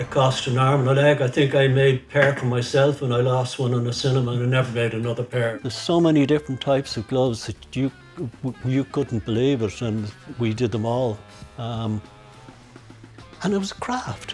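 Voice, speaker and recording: With music in the background, a man with a Dublin accent talks at a fairly quick pace and medium pitch, with ordinary pitch variation. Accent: Dublin Irish. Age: 80s+. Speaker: master glove maker. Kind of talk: documentary interview answer.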